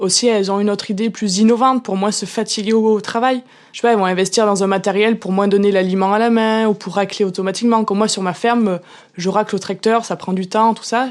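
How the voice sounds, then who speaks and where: A woman talks at a very fast pace in a rural French accent. Her pitch is medium. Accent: regional rural French. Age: young. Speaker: farmer. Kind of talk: interview answer. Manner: enthusiastic.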